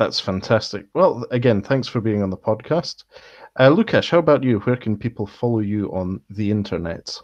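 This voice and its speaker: Here a man talks with a Scottish accent at a moderate pace. His pitch is medium, with ordinary variation. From Scotland. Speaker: podcast host. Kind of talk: casual chat.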